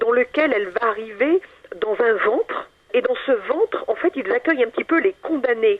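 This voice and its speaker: With noticeable background noise behind her, a woman speaks in a high pitch, her intonation lively and her loudness very even. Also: moderate pace. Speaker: author and paranormal researcher. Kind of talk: radio interview.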